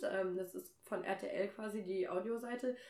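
A woman's medium-pitched voice with ordinary rise and fall, over noticeable background noise. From Germany, Nordheim. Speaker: podcast host. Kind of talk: casual chat. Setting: in person at a home in Kassel.

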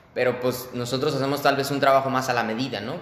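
A man speaks in a room with audible echo. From Mexico, Irapuato area. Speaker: podcast host interviewing architects. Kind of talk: interview. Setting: video call.

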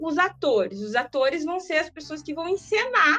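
The voice makes very wide pitch swings while music plays in the background. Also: woman. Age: 30s. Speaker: sociology teacher. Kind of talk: casual interview.

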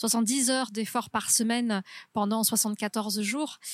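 A woman speaks very slowly in a fairly high voice with fairly even intonation, on a very clean recording with a silent background. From southwest France, near Toulouse (Haute-Garonne). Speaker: lawyer, polar explorer and ultra-trail runner. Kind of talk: interview. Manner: halting, many hesitations and repeated words.

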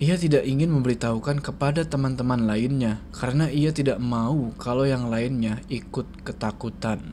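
Through noticeable background noise, a man speaks at a moderate pace and medium pitch with fairly even intonation and hardly any pauses. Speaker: horror story host. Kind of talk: horror story narration, read aloud to a channel audience. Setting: video channel recording. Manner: casual, Jakarta-style informal.

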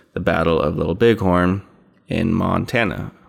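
A man with an American accent, very deep and low in pitch, at a fairly slow pace. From Idaho, US West. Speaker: podcast host. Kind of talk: casual chat.

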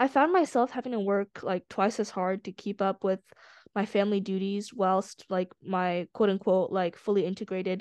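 The background is quiet as a woman talks at a medium pitch. She has a normal speaking voice. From born in China, raised in US. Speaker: student nonprofit art director. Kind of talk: interview podcast.

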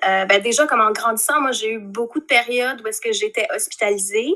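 Her bright, sharp tone comes at a fairly high pitch for a woman. She speaks at a fairly quick pace with lively intonation. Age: 30s. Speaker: podcast guest. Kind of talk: casual chat. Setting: video call.

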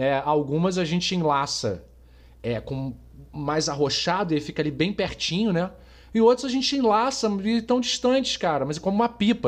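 Very wide pitch swings in a man's speech against a quiet background. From Brazil, Rio de Janeiro. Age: 40s. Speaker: podcast host, marketing professional. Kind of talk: casual chat.

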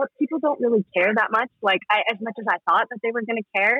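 With a Western US accent, a woman speaks with ordinary pitch variation. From Utah (Salt Lake City). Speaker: clothing brand founder. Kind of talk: casual interview.

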